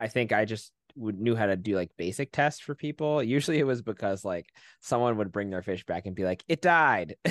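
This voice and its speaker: With a normal speaking voice, a man talks fairly quickly in a fairly low pitch with lively intonation, the sound dry and close with no echo against a quiet background. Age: 30s. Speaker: podcast host. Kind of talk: casual educational discussion.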